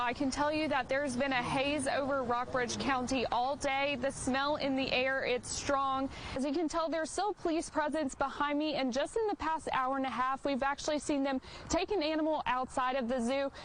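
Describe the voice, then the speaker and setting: A woman with a high pitch talks at a moderate pace, with ordinary pitch variation and very even loudness. Noticeable background noise is present. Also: hardly any pauses. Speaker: TV news reporter. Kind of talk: TV news field report.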